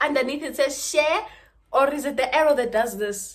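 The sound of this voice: A woman speaks at a high pitch with a fairly bright tone.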